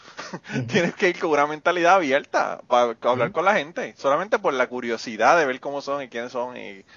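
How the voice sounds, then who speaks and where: This man's intonation is lively. Noticeable background noise runs behind him. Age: 40s. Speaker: podcast host. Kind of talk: casual chat; scripted outro.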